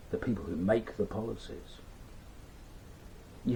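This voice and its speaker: A man speaks with an English accent. Noticeable background noise runs underneath. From England. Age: 60s. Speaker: business owner and commentator. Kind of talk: casual commentary vlog.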